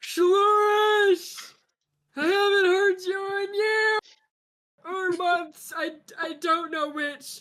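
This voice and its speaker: In a put-on character voice at an extremely high pitch, the speaker goes very slowly with long, frequent pauses. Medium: actual play. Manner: loud, eager shouting.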